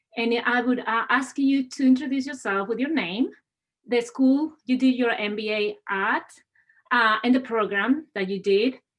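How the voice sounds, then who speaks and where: At a fairly slow pace, a woman speaks with a Spanish accent. Her pitch is high, with ordinary variation. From Spain. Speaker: university administrator. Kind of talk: webinar moderation. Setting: video call.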